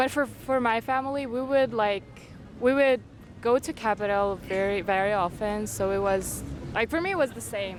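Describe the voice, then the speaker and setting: Heard over noticeable background noise, a woman with a Kyrgyz accent speaks at a moderate pace in a fairly high pitch with ordinary pitch variation. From Kyrgyzstan. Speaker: university student. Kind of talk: casual interview chat. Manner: halting, with fillers.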